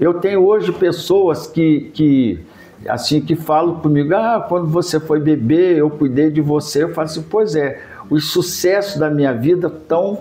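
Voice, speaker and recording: The man has a fairly high pitch and ordinary pitch variation, speaking at a moderate pace. Noticeable background noise can be heard. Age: 70s. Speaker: cultural heritage advocate. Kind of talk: interview.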